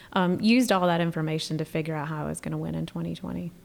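In a North Carolina accent, a woman speaks at a fairly low pitch. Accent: Southern US, North Carolina. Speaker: state senator. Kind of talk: casual chat.

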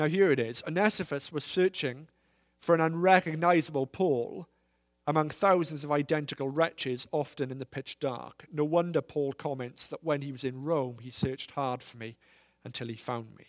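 On a very clean recording with a silent background, a man in an unremarkable speaking voice talks at a moderate pace with fairly high pitch, ordinary pitch variation and big swings in loudness. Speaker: visiting preacher. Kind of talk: sermon. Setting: church with congregation.

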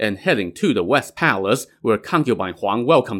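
Lively intonation in plain reading aloud

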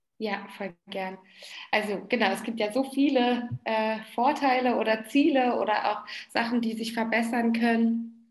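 Audible room echo surrounds a woman's voice. She speaks fairly slowly at a fairly high pitch. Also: fairly even intonation. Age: 30s. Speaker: dance therapist. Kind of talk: interview.

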